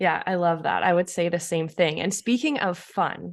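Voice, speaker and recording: With a Canadian accent and an ordinary speaking voice, a woman speaks at a medium pitch and a moderate pace with ordinary pitch variation against a quiet background. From Canada. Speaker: alpine ski racer and interviewer. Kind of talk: interview.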